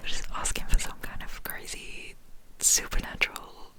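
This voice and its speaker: The woman speaks in a whisper. Noticeable background noise runs beneath her. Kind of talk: casual talk to camera. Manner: whispered, soft.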